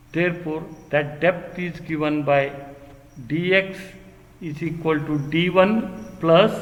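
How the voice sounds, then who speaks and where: A man speaks in a high-pitched voice, with audible echo from the room. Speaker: engineering lecturer. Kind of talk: lecture. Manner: slow.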